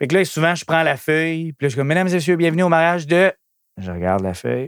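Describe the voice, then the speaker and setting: A high-pitched man speaks in an animated tone with lively intonation. The recording is very clean with a silent background. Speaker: DJ and entertainment entrepreneur. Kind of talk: casual interview.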